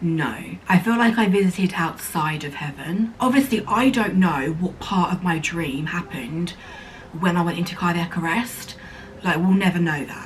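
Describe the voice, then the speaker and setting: A woman with an English accent and a fairly low pitch speaks with lively intonation over noticeable background noise. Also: moderate pace. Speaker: vlogger. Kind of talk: casual chat.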